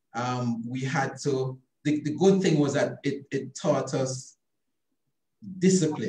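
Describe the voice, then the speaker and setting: A man's dark, mellow voice at a very slow pace, with ordinary pitch variation and audible room echo. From born in London, raised from 13 in rural Jamaica (St. Elizabeth); Jamaica. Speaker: obstetrician and gynecologist; interviewee. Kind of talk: interview about his life. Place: office. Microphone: video call.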